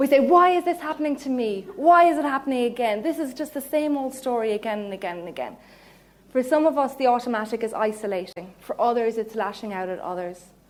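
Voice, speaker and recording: Speaking with an Irish accent, a woman talks at a very fast pace and a high pitch. Her intonation is lively. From Ireland, Cork. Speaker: counselling psychologist giving mindfulness talk. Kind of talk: public talk.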